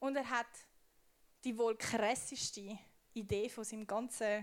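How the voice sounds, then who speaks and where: Her pitch fairly high and varying in an ordinary way, a woman is speaking. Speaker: youth preacher. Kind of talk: sermon. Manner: casual.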